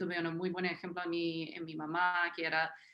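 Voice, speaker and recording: Speech in an American accent carries a bright, sharp tone. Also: woman. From US South, Tennessee, small town. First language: English (speaking Spanish). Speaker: historian, academic panelist. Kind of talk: panel talk, self-introduction. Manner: halting, many fillers.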